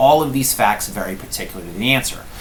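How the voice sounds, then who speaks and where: Noticeable background noise and audible room echo around a male speaker. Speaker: law professor. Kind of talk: lecture. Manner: fast.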